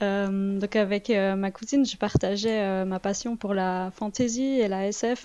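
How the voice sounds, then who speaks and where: A woman with a Vaud accent has a dark, mellow tone. She speaks at a fairly slow pace with fairly even intonation. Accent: Swiss French (Vaud), light. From Switzerland, canton of Vaud. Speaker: illustrator and comic artist. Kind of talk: interview. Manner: hesitant, many fillers.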